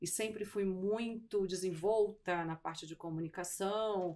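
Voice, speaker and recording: A woman speaks with a Manaus accent. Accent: Manaus accent, mistaken for Rio. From Brazil, raised in Manaus (born Pernambuco). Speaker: insurance executive, logistics risk specialist. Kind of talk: interview.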